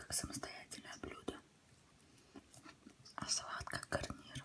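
Soft-spoken, a woman whispers at a fairly slow pace. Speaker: food vlogger. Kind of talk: casual vlog chat while eating. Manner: soft close-mic ASMR whisper. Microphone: phone near.

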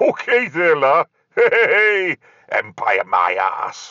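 Fairly slow, the delivery unfolds. It is done in a put-on character voice. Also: man. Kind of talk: comedy character sketches.

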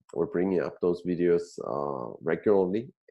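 A man talks at a fairly slow pace in a very deep, low pitch with a dark, mellow tone. The background is quiet. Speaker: show host. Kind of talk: show intro. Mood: friendly, smiling. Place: home room. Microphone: earbuds.

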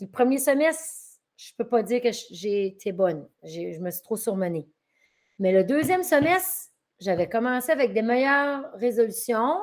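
Speaking at a fairly slow pace, a woman makes very wide pitch swings against a quiet background. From northern New Brunswick, Acadian. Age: 40s. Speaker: teacher. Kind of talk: interview testimony. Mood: reflective, animated.

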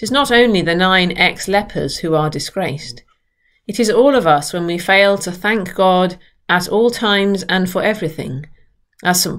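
A woman at a moderate pace with ordinary pitch variation against a quiet background. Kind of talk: sermon. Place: home room. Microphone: webcam.

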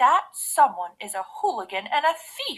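A woman's put-on character voice, growling and high-pitched, with very wide pitch swings at a moderate pace

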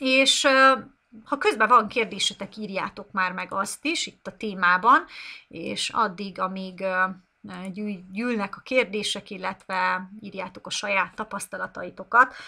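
A woman at a fairly slow pace, bright and sharp in tone, with ordinary pitch variation, big swings in loudness and a quiet background. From Hungary. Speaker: English teacher. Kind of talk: live online lesson. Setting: live stream. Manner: unscripted, off the cuff. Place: home room. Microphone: webcam.

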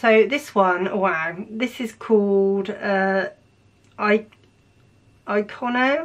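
A woman speaks at a very slow pace with long, frequent pauses. Her pitch varies in an ordinary way. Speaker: makeup youtuber. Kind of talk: makeup tutorial with swatches. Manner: animated. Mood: enthusiastic, impressed. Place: home room.

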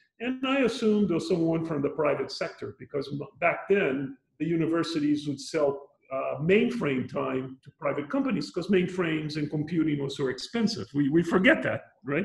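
The man's pitch is fairly high and his pace moderate. Audible room echo fills the recording. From Brazil, Rio de Janeiro. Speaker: UN environmental official. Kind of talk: interview. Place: home room. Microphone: video call.

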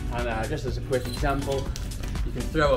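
Clear music sits in the background as a man speaks. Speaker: fitness vlogger. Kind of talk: casual vlog tutorial. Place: garden.

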